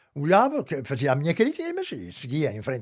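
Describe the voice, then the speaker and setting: A man speaks with very wide pitch swings. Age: 80s+. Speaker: lifelong football fan. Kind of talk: interview answer.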